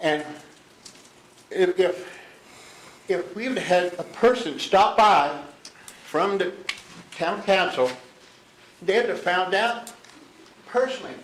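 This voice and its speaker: The speech moves at a very slow pace with long, frequent pauses. Noticeable background noise runs underneath. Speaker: business owner speaking at public meeting. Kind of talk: public comment at county meeting. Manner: agitated, animated.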